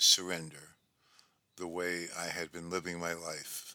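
A man speaks in a very deep, low pitch with a bright, sharp tone. His pace is fairly slow. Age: 70s. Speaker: podcast host and author. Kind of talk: personal monologue.

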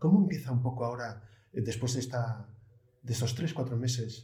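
At a moderate pace, a man speaks at a medium pitch in a dark, mellow, somewhat breathy tone, with audible room echo around him. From Asturias, Spain. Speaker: guest interviewer. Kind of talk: interview.

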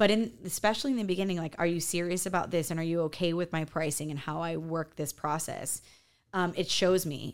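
Fairly low in pitch, a woman talks at a fairly quick pace with ordinary pitch variation, a plain, everyday voice. The recording is very clean with a silent background. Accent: American. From US Midwest, farm town near Chicago. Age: 40s. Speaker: interior designer. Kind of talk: casual interview.

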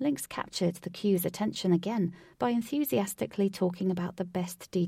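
The pitch varies in an ordinary way. A natural voice reads aloud.

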